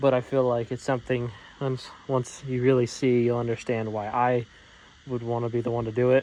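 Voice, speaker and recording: This man talks at a fairly quick pace in a medium pitch, his intonation monotone and flat. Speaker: garage mechanic YouTuber. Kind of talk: workshop vlog. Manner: casual, rambling.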